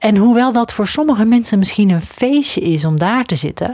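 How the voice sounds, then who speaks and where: This woman's pitch swings very widely while she keeps a moderate pace. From southern Netherlands near Belgian border. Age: 40s. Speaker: coach and podcast host. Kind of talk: solo podcast monologue.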